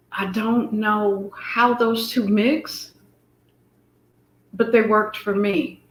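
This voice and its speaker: Speaking very slowly with long, frequent pauses, a woman keeps a fairly high pitch and fairly even intonation. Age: 60s. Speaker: fashion guest, former Air Force medic. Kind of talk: interview.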